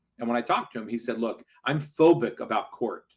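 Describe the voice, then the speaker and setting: A man's plain, everyday voice at a medium pitch, fairly quick in pace, with ordinary pitch variation. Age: 60s. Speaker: personal injury lawyer, law firm owner. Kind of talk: podcast interview.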